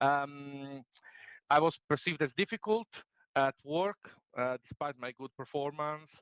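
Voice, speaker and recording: A man with an Italian accent speaks at a medium pitch, the sound dry and close with no echo. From Italy. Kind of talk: talk to a group. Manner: fast; halting, many fillers.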